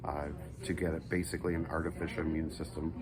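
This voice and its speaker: Fairly even intonation comes through audible room echo and noticeable background noise. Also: man. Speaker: amateur race car driver and charity founder. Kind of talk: casual vlog. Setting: hospital room. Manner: soft-spoken.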